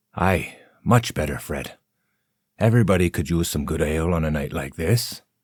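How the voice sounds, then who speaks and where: A man's gruff, put-on character voice, very deep and low in pitch, at a moderate pace in a very clean recording with a silent background. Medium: read story. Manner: terse, gruff.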